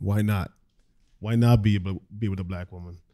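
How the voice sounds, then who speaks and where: At a moderate pace, a man speaks with a dark, mellow tone, fairly low pitch and fairly even intonation over a quiet background. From Caribbean. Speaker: media production company owner; panel host. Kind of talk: panel discussion. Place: hall. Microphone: studio mic.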